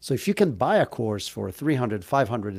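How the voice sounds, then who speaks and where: A man with an Israeli accent speaks in a medium pitch with lively intonation. His recording is very clean, the background silent. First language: Hebrew. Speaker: entrepreneur. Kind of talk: interview. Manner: casual, joking.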